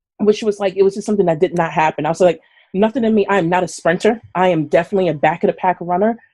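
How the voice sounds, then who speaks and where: The speaker has a New York accent and an animated tone. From New York, Brooklyn. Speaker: runner and chef. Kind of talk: casual chat. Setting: live stream.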